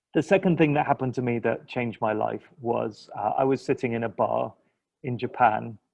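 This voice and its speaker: At a fairly quick pace, a man with an English accent speaks at medium pitch. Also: ordinary pitch variation. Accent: English accent, noticeable to locals. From England. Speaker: linguistics lecturer. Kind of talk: interview. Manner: hesitant, many fillers.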